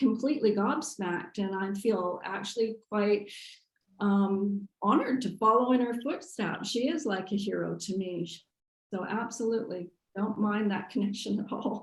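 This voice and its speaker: A woman with a fairly high pitch sounds somewhat breathy, speaking at a moderate pace with ordinary pitch variation. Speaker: artist, printmaker. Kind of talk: artist talk Q&A.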